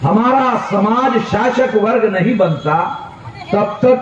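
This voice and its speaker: A man with audible room echo and noticeable background noise. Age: 60s. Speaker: political activist leader. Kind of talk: political rally speech. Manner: loud, emphatic oratory.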